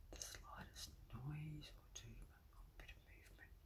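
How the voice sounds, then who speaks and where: Soft-spoken whispering over noticeable background noise. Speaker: home bird watcher. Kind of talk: casual talk to camera. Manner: whispered. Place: kitchen. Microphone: phone near.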